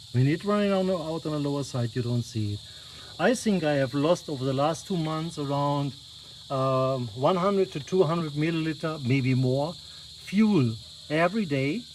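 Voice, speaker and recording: A non-native accent at a moderate pace. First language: not English. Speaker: car owner vlogger. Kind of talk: tutorial. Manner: halting.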